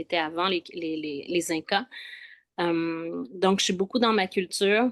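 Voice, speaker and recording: In a Quebec accent, a woman talks at a fairly slow pace. The sound is dry and close with no echo, over a quiet background. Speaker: spiritual travel guide. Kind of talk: casual chat. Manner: hesitant, many fillers.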